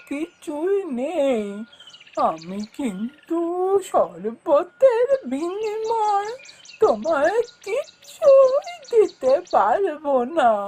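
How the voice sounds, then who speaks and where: A cartoonish character voice talks at a very slow pace. Its pitch swings very widely. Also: woman. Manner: gentle, affectionate.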